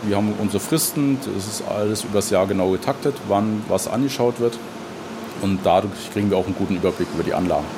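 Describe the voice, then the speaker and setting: A man with a fairly low pitch talks at a very fast pace with ordinary pitch variation. Noticeable background noise is present. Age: 30s. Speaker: rail network manager. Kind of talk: interview.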